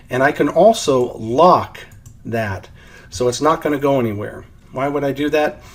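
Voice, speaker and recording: A man talks in a normal speaking voice with a fairly high pitch. His intonation is lively and his pace is moderate. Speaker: software trainer. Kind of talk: tutorial.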